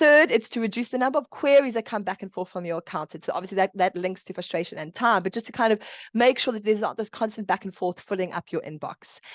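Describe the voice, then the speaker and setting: With a South African accent, a woman talks at a very fast pace with hardly any pauses, her fairly high voice full of lively intonation against a quiet background in a dry, close sound with no echo. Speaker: chartered accountant. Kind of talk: webinar presentation. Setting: online webinar.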